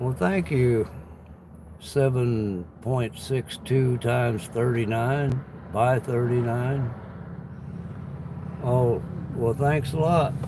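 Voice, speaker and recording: A man with an American accent talks at a very slow pace, leaving long, frequent pauses, at a medium pitch with ordinary pitch variation. His loudness stays very even, and noticeable background noise runs underneath. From US Midwest, Illinois. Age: 60s. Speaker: livestreamer and gig worker. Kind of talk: casual live-stream chat.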